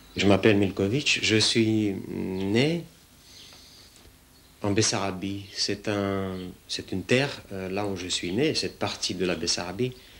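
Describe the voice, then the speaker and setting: Using a Russian accent, a man speaks at a fairly slow pace and fairly low pitch, with ordinary pitch variation and long, frequent pauses. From Romania. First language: Russian (speaking French). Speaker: sculptor and painter. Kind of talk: interview monologue about his art. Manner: hesitant, many fillers.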